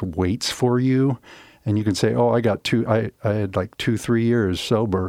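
A man with a fairly low pitch and a dark, mellow tone speaks at a moderate pace with fairly even intonation and very even loudness, in a dry, close sound with no echo. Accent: American. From Omaha, Nebraska (US Midwest). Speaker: videographer. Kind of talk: interview. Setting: studio.

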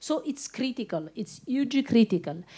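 A woman with an Italian accent speaks in a dark, mellow tone, her pitch swinging very widely. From Italy. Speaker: journalist. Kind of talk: panel discussion.

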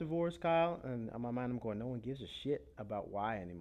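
Here a man talks in an ordinary speaking voice, with lively intonation and a fairly quick pace. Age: 20s. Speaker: podcast host. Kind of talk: casual chat.

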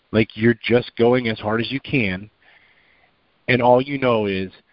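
A man at a medium pitch, fairly slow in pace, with fairly even intonation. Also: long, frequent pauses. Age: 40s. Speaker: fitness group member. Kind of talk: casual chat. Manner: halting.

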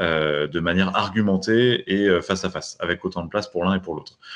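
A man's very deep, low voice at a fairly quick pace, with ordinary pitch variation and a quiet background. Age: 30s. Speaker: entrepreneur, newspaper cofounder. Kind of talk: interview.

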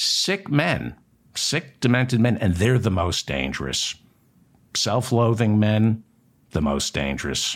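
With an American accent, a man speaks at a fairly slow pace with fairly low pitch, very wide pitch swings, and long, frequent pauses. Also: very clean recording, silent background. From New Jersey. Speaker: political talk show host. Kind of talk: news commentary monologue.

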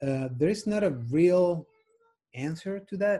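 Speaking at a fairly slow pace with a Spanish accent, a man has a dark, mellow tone that is somewhat breathy. His pitch variation is ordinary. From Spain. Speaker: sports team physician. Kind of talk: interview. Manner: halting.

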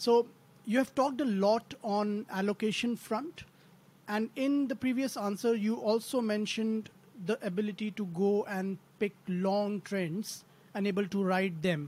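This man has an Indian accent and a high pitch. He speaks at a fairly slow pace with ordinary pitch variation. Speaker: podcast co-host, value investor. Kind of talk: interview questions.

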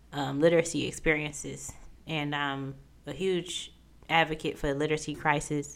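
A woman's very deep, low voice with an American accent and fairly even intonation. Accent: Midwestern US with a slight Southern drawl. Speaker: podcast host, author, former English professor. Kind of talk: casual solo podcast monologue.

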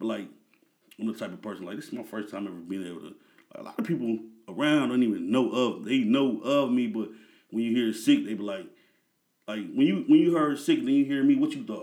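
A man with an American accent at a very fast pace, with big swings in loudness, long, frequent pauses and audible room echo. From Peoria, Illinois, US Midwest. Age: 30s. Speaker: music manager. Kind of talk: casual chat.

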